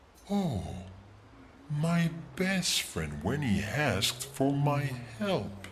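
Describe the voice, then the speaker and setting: Using a put-on character voice at a fairly high pitch, a man talks at a very slow pace with long, frequent pauses over clear background noise. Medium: video game.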